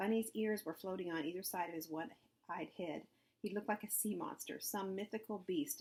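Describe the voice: A plain reading aloud, nothing more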